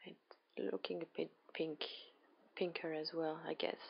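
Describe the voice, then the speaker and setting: A woman is speaking. Her voice is soft-spoken. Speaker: artist. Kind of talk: tutorial. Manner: halting.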